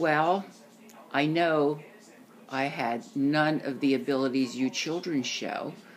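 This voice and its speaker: A woman speaks at a very slow pace in a very deep, low pitch with ordinary pitch variation. Her delivery has long, frequent pauses. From US, Italian-American family. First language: Italian. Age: 70s. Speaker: grandparent interviewed by grandchild. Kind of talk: family interview. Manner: halting.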